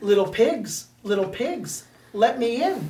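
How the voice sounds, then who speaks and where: A woman performs a put-on character voice at a fairly high pitch. She talks fairly slowly. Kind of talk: bedtime story. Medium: read story. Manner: menacing.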